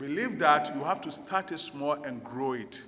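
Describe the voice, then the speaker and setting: A man's voice with very wide pitch swings at a moderate pace, with audible room echo and noticeable background noise. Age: 60s. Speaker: business owner and conference speaker. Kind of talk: motivational conference talk.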